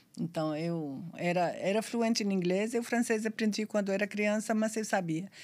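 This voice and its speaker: A woman with an Arabic accent speaks at a medium pitch and a moderate pace on a very clean recording with a silent background. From Syria. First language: Arabic (speaking Portuguese). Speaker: sworn translator and pharmacist. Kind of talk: podcast interview.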